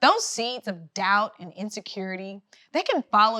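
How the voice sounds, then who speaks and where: Her bright, sharp tone and fairly high pitch come with a Southern accent as the woman talks at a moderate pace. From US South, rural Georgia. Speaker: writer and public relations consultant. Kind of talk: inspirational talk.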